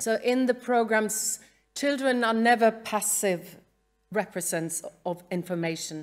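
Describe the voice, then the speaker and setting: A woman's fairly high voice in a Norwegian accent, at a fairly slow pace with ordinary pitch variation. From Norway. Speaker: museum educator. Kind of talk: conference talk read from script. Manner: halting.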